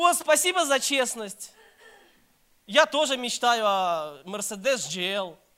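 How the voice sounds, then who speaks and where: With a raised, projected voice, a man speaks at an extremely high pitch with very wide pitch swings, very slowly and with long, frequent pauses. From Belarus, Minsk. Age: 30s. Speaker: pastor. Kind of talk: sermon.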